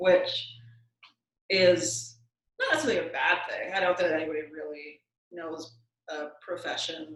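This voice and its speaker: A soft-spoken woman with long, frequent pauses and audible room echo. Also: moderate pace, big swings in loudness. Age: 30s. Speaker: lawyer. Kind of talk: interview.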